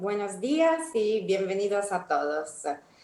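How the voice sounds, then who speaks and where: A woman speaks very slowly with an Italian accent. Her medium pitch rises and falls in a lively way. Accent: Italian accent noticeable. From Italy. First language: Italian (speaking Spanish). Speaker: energy company executive. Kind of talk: opening speech. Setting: online panel event.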